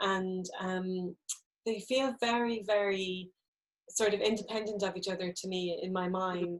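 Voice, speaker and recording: With an Irish accent, a woman speaks in a monotone, flat intonation. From Ireland, Midlands (County Laois). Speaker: novelist. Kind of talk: book event interview. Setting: live stream.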